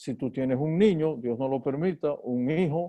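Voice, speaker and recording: A man speaks with ordinary pitch variation. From Dominican Republic, San Juan de la Maguana. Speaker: neurosurgeon. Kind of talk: talk to colleagues, then interview. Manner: halting, repeats words.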